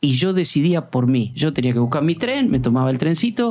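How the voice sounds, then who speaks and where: Very wide pitch swings and a moderate pace from a man. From Argentina (Puan, Buenos Aires province). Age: 50s. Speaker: sports journalist. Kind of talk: interview.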